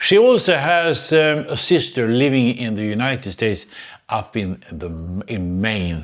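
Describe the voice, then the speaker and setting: Speaking with a Swedish accent, a man uses very wide pitch swings around a medium pitch at a fairly slow pace. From Sweden. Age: 80s+. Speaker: retired engineer, YouTuber. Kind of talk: casual talk to camera. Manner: hesitant, reflective.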